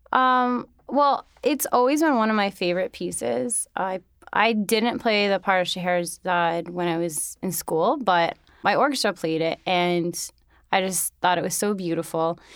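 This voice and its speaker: This woman has an unremarkable speaking voice with an American accent, medium pitch and lively intonation. She speaks at a moderate pace in a very clean recording with a silent background. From New York City. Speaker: violinist. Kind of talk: interview.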